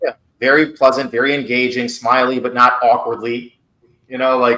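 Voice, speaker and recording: The tone is bright and sharp, delivered with monotone, flat intonation. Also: man, medium pitch for a man. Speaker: interview coach. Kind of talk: feedback session. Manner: fast; casual.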